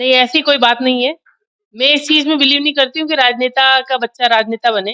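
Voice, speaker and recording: Raising and projecting her voice, a woman speaks at a high pitch with a bright, sharp tone, fairly even intonation and a moderate pace, the sound dry and close with no echo. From Mewar, Rajasthan (Udaipur region). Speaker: politician. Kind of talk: interview.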